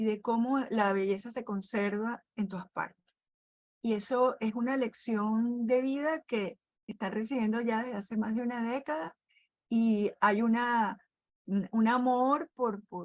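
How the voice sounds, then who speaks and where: A woman with a plain, everyday voice, fairly high in pitch, at a fairly slow pace with ordinary pitch variation. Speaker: architecture critic and curator. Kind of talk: radio interview.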